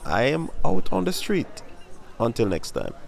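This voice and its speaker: Faint music plays behind a man speaking at a moderate pace, with a dry sound and no echo. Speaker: track fan commentator. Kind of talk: casual vlog commentary. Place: street.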